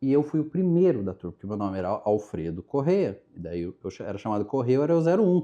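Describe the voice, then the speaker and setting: A man's medium-pitched, dark, mellow voice at a very fast pace, with very wide pitch swings, hardly any pauses and a quiet background. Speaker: journalist and marketing professional. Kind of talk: casual interview.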